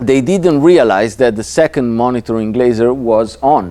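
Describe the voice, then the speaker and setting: This man has an Italian accent and a dark, mellow tone. He talks at a fairly slow pace with lively intonation. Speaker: laser safety lecturer. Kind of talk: lecture. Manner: halting, many fillers and repetitions.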